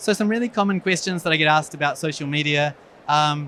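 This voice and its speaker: At a very fast pace, the voice carries a bright, sharp tone and ordinary pitch variation. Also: man. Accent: New Zealand. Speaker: eye surgeon. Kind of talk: conference talk.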